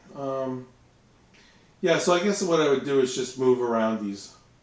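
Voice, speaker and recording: A man's mumbling at a fairly slow pace, with ordinary pitch variation and audible room echo. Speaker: miniature wargaming streamer. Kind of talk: casual live stream chat. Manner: hesitant, many fillers.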